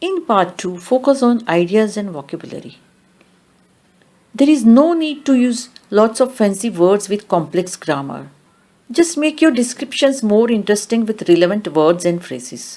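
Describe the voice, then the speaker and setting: A woman's fairly high voice at a moderate pace, with very wide pitch swings. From India. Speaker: language teacher. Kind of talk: tutorial.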